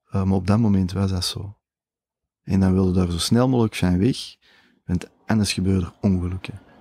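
A dark, mellow tone comes through on a very clean recording, dry and close with no echo and a silent background. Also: man. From Flanders, Belgium (Mol, Antwerp province). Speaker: entrepreneur, travel company founder. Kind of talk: casual interview. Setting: aboard a moored ship.

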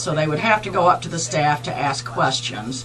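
The speaker has an American accent and a fairly quick pace. Light background noise can be heard. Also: woman. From southern Ohio, near Cincinnati. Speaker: political candidate for county clerk; candidate. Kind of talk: radio interview. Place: studio.

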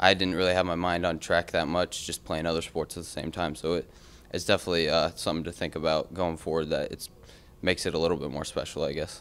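A man's very deep, low voice runs at a very fast pace in a monotone, flat intonation. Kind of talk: interview answer. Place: meeting room. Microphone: podium.

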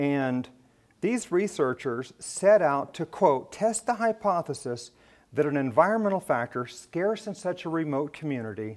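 A man talks with very wide pitch swings. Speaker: ophthalmologist giving a lecture. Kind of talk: lecture. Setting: stage with audience at a medical education event. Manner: passionate. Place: hall.

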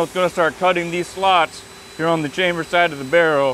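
A man speaks high-pitched at a fairly quick pace with fairly even intonation. The sound is dry with no echo, with light background noise. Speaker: machinist at the factory. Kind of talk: explanation on a factory tour. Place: factory.

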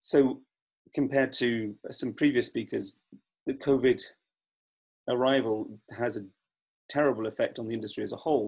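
A man at a moderate pace with fairly even intonation and long, frequent pauses, over a quiet background. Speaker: opera director. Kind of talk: panel talk. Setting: video call. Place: home room. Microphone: video call.

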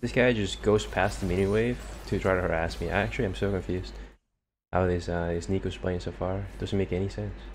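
Speaking at a fairly quick pace, a man with a very deep, low voice and vocal fry moves through very wide pitch swings. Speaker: gaming streamer. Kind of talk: live gameplay commentary. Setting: gaming stream, solo. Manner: animated, reactive; fast, stream-of-consciousness.

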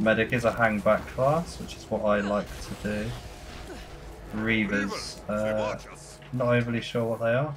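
Against noticeable background noise, a man with a fairly low pitch speaks with fairly even intonation and long, frequent pauses. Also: fairly slow pace. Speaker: gaming youtuber. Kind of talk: gameplay commentary. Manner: casual, chatty.

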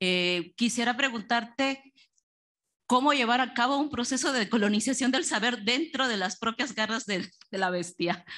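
A woman speaks in a bright, sharp, high voice. She goes at a fairly slow pace with ordinary pitch variation. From Mexico. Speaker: audience member asking question. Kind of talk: Q&A question.

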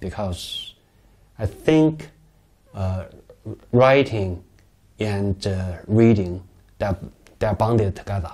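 In a Chinese accent, a man speaks very slowly with long, frequent pauses, using a fairly low pitch and ordinary pitch variation. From China, Beijing. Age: 40s. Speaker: novelist; interviewee. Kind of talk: interview. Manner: halting, many fillers. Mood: calm, reflective, sometimes smiling. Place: home room. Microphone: lapel.

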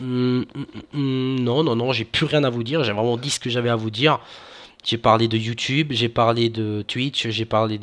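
A man at a fairly slow pace with fairly even intonation. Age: 20s. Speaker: gaming youtuber; gaming channel host. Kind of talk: casual vlog to viewers. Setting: home recording with webcam. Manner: hesitant, many fillers. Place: home room. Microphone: headset.

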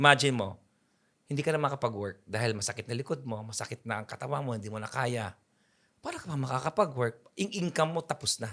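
This man talks at a very fast pace in a bright, sharp, animated tone. His pitch is medium, with ordinary variation. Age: 50s. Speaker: photographer. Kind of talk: interview.

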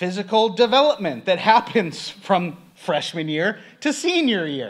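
Over a quiet background, a man speaks. His pitch swings very widely. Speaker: guest preacher. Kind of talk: sermon. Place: church. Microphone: podium.

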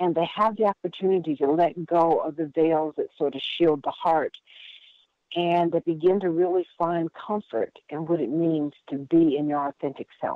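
A woman's unremarkable speaking voice with an American accent, fairly low in pitch, fairly even in intonation, at a moderate pace. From US Midwest (Indiana). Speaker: workshop leader, wellbeing coach. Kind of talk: interview.

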